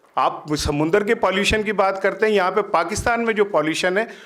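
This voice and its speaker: Moderate pace and ordinary pitch variation in a high male voice. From Pakistan. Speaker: senior journalist. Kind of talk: speech at a university event. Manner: animated.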